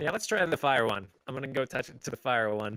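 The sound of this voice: At a fast pace, a man with a medium pitch speaks in a bright, sharp tone with lively intonation.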